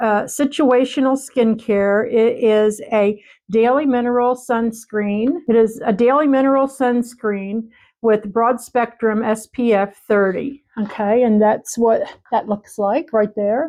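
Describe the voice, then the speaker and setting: At a fairly slow pace, a woman with a dark, mellow tone keeps fairly even intonation and very even loudness against a quiet background. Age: 60s. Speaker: beauty vlogger. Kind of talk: product unboxing review. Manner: casual with frequent fillers.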